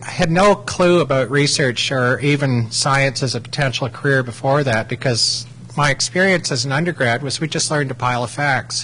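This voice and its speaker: Noticeable background noise surrounds a man speaking in a Canadian accent. His pitch shows ordinary variation. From Ontario, Canada. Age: 40s. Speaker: microbiologist, academic. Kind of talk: lecture. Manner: halting.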